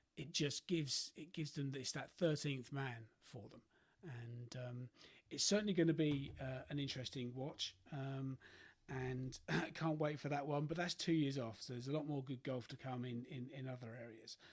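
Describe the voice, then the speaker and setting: His voice has a somewhat breathy quality. A man talks at a moderate pace. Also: fairly high pitch for a man, ordinary pitch variation. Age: 50s. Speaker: golf podcast host. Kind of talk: solo podcast monologue. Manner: halting, many fillers.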